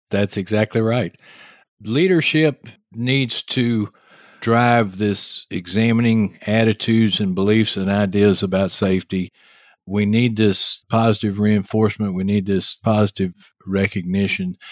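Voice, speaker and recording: With a Texas accent, a man speaks at a fairly slow pace in a fairly low pitch and fairly even intonation. The sound is dry and close with no echo, a very clean recording with a silent background. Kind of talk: casual interview.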